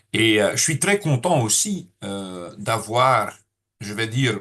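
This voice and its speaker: Lively in intonation, the man delivers his words at a very slow pace. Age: 60s. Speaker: network marketing trainer. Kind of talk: training seminar. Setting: room with audience. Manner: hesitant, many filler sounds.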